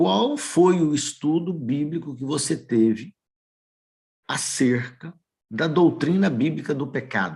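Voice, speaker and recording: An unremarkable speaking voice, a man's at a fairly high pitch, carries lively intonation. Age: 60s. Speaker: lay preacher. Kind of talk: sermon.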